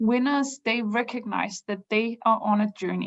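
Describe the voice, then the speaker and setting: A woman with a non-native accent speaks at a fairly slow pace and a fairly high pitch, somewhat breathy, with fairly even intonation. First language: not English. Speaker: business improvement consultant. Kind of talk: webinar presentation. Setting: online webinar. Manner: halting, many fillers.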